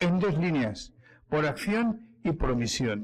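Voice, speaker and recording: A fairly high-pitched man with very wide pitch swings. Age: 60s. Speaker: historian speaker. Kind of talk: public talk. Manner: halting, with many fillers and restarts.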